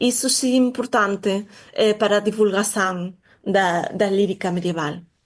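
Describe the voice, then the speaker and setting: A woman speaks at medium pitch with a Galician accent. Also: ordinary pitch variation, moderate pace, quiet background. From Galicia, Spain. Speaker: literature researcher. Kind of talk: interview.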